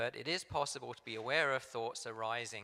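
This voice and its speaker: A man with an English accent and a bright, sharp tone talks at a medium pitch and a moderate pace with fairly even intonation. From England. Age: 60s. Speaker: meditation group facilitator. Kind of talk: talk at a church service. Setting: church sanctuary, also streamed on video call. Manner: hesitant, with frequent ums and repeats.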